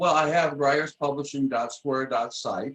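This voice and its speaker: This man has a plain, everyday voice, medium in pitch, with an American accent and a moderate pace. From Michigan, US. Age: 60s. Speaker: author and publisher. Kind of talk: casual interview.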